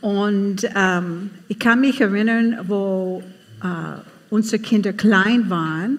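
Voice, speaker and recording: Very slow in pace, a woman with an English accent speaks at medium pitch with ordinary pitch variation. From USA. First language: English (speaking German). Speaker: conference speaker. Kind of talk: talk to a live audience.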